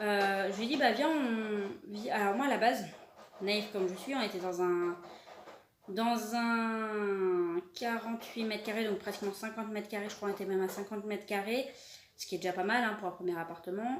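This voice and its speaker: Medium-pitched female speech at a moderate pace, with ordinary pitch variation and audible room echo. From France (Paris). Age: 20s. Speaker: animal vlogger. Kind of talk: casual self-introduction vlog. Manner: halting, many hesitations; searching for words, repetitive.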